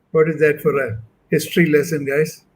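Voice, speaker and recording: Fairly high in pitch and somewhat breathy, a man speaks at a moderate pace. His intonation stays fairly even. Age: 70s. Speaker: panelist. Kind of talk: webinar panel discussion.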